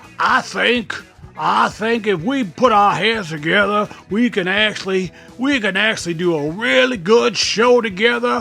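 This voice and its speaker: With music in the background, a man talks at a fairly slow pace in a high, raised, projected voice. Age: old. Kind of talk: casual talk to camera, reconciliation chat. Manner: earnest, conciliatory, grateful.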